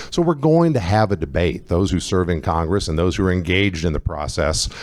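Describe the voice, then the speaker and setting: With an American accent, a man speaks at a very deep, low pitch with lively intonation against noticeable background noise. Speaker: congressional candidate. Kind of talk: candidate Q&A at public forum. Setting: event with live audience, using a mic.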